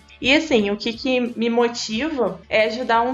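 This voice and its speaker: Music plays in the background. Over it, a woman speaks with a fairly high pitch. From interior of Rio de Janeiro state, near Minas Gerais. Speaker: biologist. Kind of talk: casual chat.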